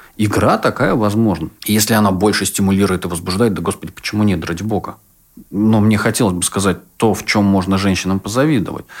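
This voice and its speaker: A man's fairly low voice, very fast delivery, fairly even intonation. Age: 30s. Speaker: sexologist and psychotherapist. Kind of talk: casual chat.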